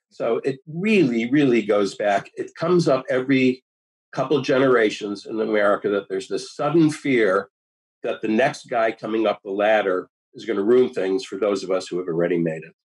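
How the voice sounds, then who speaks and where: A man with an ordinary speaking voice at a medium pitch, lively intonation and a moderate pace. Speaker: author. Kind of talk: interview. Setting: video call.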